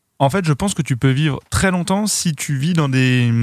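Here a man speaks at a moderate pace with ordinary pitch variation. His is an unremarkable speaking voice. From western France (Noirmoutier, Vendée). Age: 30s. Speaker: web video creator. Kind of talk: casual chat.

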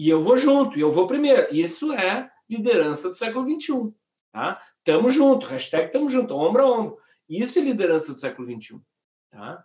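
A man's high-pitched voice at a moderate pace, with very wide pitch swings and big swings in loudness. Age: 50s. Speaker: communication expert and keynote speaker. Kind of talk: casual interview. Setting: online live stream. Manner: animated.

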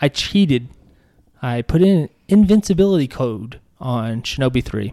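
Lively intonation comes through a dry, close sound with no echo. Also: man. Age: 30s. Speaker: podcast co-host. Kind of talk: casual chat. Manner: animated.

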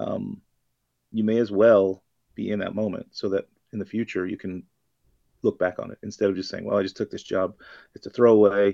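A man with an American accent speaks at a fairly low pitch in a dark, mellow tone, his intonation monotone and flat. He moves at a fairly quick pace but takes long, frequent pauses, with big swings in loudness and a dry, close sound with no echo. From US South, Florida Panhandle. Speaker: bartender. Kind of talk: casual chat.

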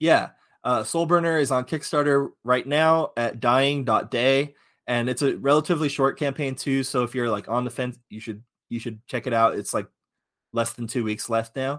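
This man has an unremarkable speaking voice, medium in pitch with ordinary pitch variation. The recording is very clean and the background silent. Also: moderate pace. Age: 30s. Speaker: tabletop game designer. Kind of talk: casual chat.

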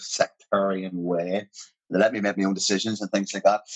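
In a Northern Irish accent, a man talks at a fairly quick pace with a fairly low voice. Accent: Northern Irish (Armagh). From Northern Ireland, Portadown. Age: 40s. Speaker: actor. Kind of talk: casual interview chat.

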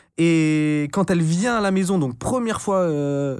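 A man with a plain, everyday voice and a fairly high pitch speaks at a fairly slow pace with lively intonation, in a very clean recording with a silent background. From France, Brittany (Finistère, Brest). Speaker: entrepreneur and content creator. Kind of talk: casual interview chat.

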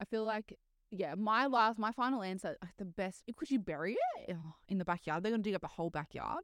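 With vocal fry and ordinary pitch variation, a woman speaks at a moderate pace in a dry, close recording with no echo. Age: 30s. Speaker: podcast co-host. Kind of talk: casual chat.

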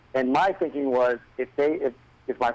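A man's medium-pitched voice with ordinary pitch variation, dry and close with no echo. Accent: American. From New England, US. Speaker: singer-songwriter. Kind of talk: interview.

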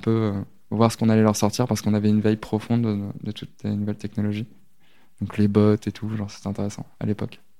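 Speaking at a fairly quick pace, a man with a fairly low pitch and a dark, mellow tone is heard on a very clean recording with a silent background. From Normandy, France. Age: 20s. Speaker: social media manager. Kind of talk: interview. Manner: hesitant, many fillers.

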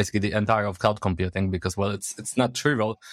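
A man with a Polish accent is heard on a very clean recording with a silent background. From Poland, Poznań. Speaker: software engineer. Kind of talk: casual chat.

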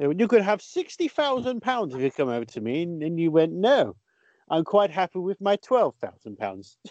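A man's high voice with very wide pitch swings at a fairly slow pace. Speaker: podcast host and comedian. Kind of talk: casual comedy chat.

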